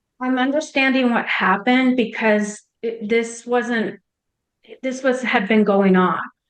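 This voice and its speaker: Speaking at a fairly slow pace, a woman uses a fairly high pitch and fairly even intonation. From Canada. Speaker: mother of guest. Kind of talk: interview testimony. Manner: halting.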